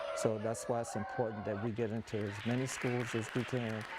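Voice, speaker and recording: Over noticeable background noise, a man talks fairly quickly with fairly even intonation. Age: 60s. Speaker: children's author. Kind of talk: interview.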